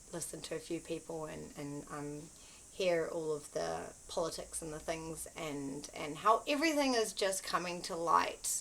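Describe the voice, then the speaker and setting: Her fairly low-pitched voice shows vocal fry as this woman speaks at a moderate pace with ordinary pitch variation. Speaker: spiritual content creator. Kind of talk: casual spiritual talk to camera. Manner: hesitant, many fillers.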